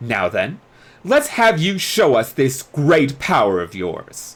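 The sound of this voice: A put-on character voice moves slowly, with very wide pitch swings. The tone is fairly bright.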